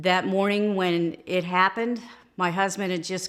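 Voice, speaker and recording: A plain, everyday voice, fairly even in intonation and moderate in pace. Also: woman. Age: 60s. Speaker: grandmother interviewed by grandson. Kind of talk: family interview, recalling memories.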